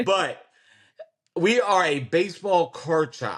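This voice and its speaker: Someone speaks in a Kentucky accent over a quiet background. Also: man. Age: 40s. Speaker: card shop owner. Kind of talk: interview conversation.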